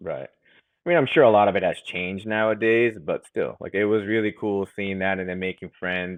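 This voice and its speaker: This man's voice sits fairly low in pitch. It rises and falls in an ordinary way. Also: fairly quick pace. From United States, raised by Japanese-speaking parents. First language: Japanese. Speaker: family business president. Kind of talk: interview conversation.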